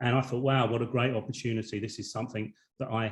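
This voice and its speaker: There is a somewhat breathy quality to this man's voice, and he speaks with a British accent. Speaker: network marketing business owner. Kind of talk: webinar presentation. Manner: halting, with many repetitions.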